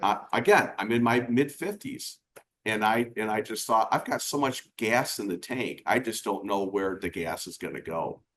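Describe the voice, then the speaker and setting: Using a normal speaking voice, a man talks at a medium pitch and a moderate pace. His pitch variation is ordinary. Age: 60s. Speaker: business coach. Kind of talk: casual chat.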